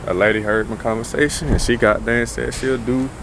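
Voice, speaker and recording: Noticeable noise fills the background of this recording. Over it, a man speaks fairly fast, his pitch rising and falling in a normal way. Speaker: vlogger. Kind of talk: casual vlog monologue.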